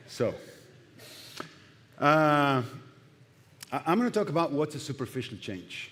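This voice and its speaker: A man's fairly high voice with lively intonation and a Spanish accent. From Argentina. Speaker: pastor. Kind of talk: sermon. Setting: church. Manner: halting.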